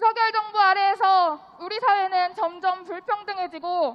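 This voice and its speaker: Speaking at a fairly slow pace, a woman with an extremely high voice uses ordinary pitch variation. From Gwangju, South Korea. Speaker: rally speaker. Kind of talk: protest speech. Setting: outdoor rally with crowd. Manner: declamatory, rousing.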